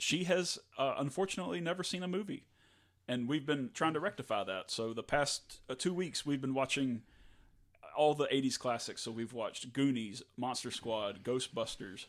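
On a very clean recording with a silent background, a man with a normal speaking voice and fairly high pitch speaks at a moderate pace. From US South, North Louisiana. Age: 30s. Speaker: podcast co-host, graphic designer. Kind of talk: casual chat.

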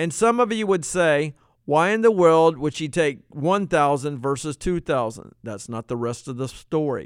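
On a very clean recording with a silent background, a man speaks in an ordinary speaking voice with an American accent. His pitch is fairly high, his intonation lively and his pace moderate. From Virginia, US. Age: 60s. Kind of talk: educational monologue.

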